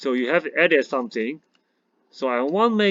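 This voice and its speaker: Lively intonation colors a man's medium-pitched voice. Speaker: math teacher. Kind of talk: tutorial.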